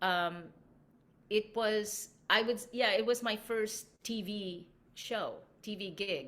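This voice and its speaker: At a very slow pace with long, frequent pauses, a woman's fairly high voice shows ordinary pitch variation and big swings in loudness. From Philippines. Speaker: actress. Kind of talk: interview. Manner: halting.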